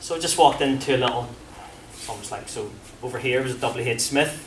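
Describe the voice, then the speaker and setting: Over noticeable background noise and audible room echo, a man with a strong Belfast accent talks very fast at a medium pitch. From Northern Ireland, Belfast. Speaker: former professional footballer, sports psychology speaker. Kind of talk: presentation to a coaching audience. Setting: room with live audience. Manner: animated, conversational.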